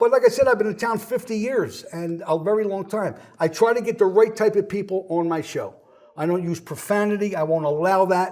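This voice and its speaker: Speaking at a fairly quick pace, a man with an American accent uses a high voice with ordinary pitch variation. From Philadelphia, South Philly. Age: 70s. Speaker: author and former restaurateur. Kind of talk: interview conversation. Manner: animated.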